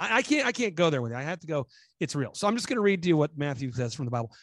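An animated man's voice with very wide pitch swings against a quiet background. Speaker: business consultant and conspiracy commentator. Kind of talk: interview, animated monologue. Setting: video call. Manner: animated, talkative.

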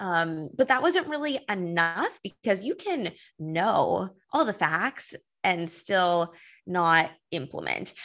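A woman with a Californian accent at a very slow pace, lively in intonation, over a quiet background. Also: medium pitch for a woman. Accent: Californian American. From Los Angeles. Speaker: wellness coach. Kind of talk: casual interview.

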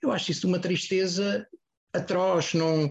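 There is a somewhat breathy sound to this man's voice. He speaks fairly slowly. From Portugal, Almada. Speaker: music agent and label owner. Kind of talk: casual panel discussion.

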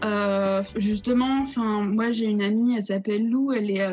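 Using an ordinary speaking voice, a woman speaks at a fairly slow pace with a medium pitch. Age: 20s. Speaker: theatre student and director. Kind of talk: casual interview. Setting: video call.

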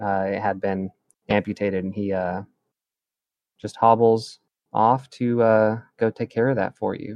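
Speaking at a fairly low pitch with fairly even intonation, a man leaves long, frequent pauses. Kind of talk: ghost story narration in a tabletop roleplaying game, second-person horror description. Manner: hushed, slow, ominous, building dread with dramatic pacing.

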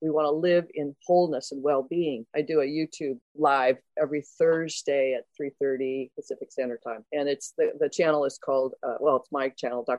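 A woman's very deep, low voice at a moderate pace, with fairly even intonation. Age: 60s. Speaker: coach and author. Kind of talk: interview conversation.

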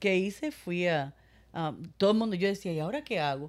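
A woman's normal speaking voice at medium pitch, lively intonation and a moderate pace, on a very clean recording with a silent background. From Cuba. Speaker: breast cancer survivor. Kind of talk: testimony.

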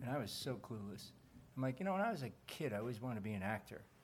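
A somewhat breathy man at a very fast pace, with very wide pitch swings. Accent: American. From New Jersey. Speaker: actor. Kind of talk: live interview. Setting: stage with audience.

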